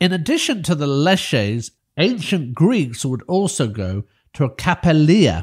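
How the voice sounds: A man's fairly high, slightly mellow voice with big pitch swings at a slow pace, on a very clean recording with a silent background.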